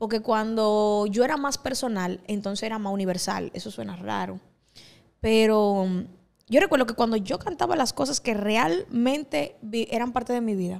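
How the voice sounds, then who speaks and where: At a moderate pace, a woman speaks with a fairly high pitch and ordinary pitch variation. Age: 20s. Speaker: singer and pastor; pastor. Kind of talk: casual chat. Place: studio. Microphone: handheld.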